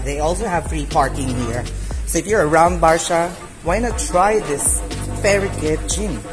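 Moderate pace with clear music in the background. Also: man. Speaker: vlogger. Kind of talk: casual vlog chat. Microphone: phone near.

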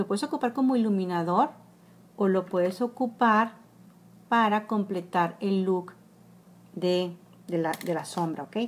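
Speaking at a fairly slow pace, a woman leaves long, frequent pauses and shows ordinary pitch variation. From Mexico, Monterrey; Nuevo León, Mexico. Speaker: makeup blogger. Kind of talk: makeup tutorial livestream. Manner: casual, with many fillers. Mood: warm, enthusiastic. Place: home room. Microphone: phone near.

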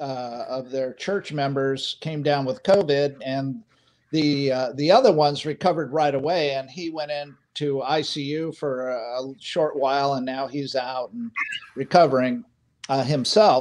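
In a normal speaking voice, a man talks at a fairly slow pace with a fairly high pitch. The background is quiet and his pitch varies in an ordinary way. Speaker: pilot, panelist. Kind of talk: panel discussion. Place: home room.

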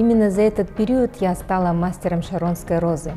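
Faint music plays in the background as a woman talks. Her pace is moderate and her pitch varies in an ordinary way. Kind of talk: interview answer. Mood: warm, enthusiastic. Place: studio. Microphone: lapel.

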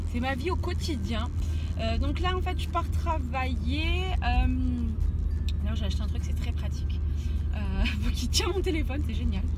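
Music plays in the background as a woman speaks at a fairly slow pace, with long, frequent pauses. The sound is dry, with no echo. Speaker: vlogger. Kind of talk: casual vlog chat. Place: car. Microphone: phone near.

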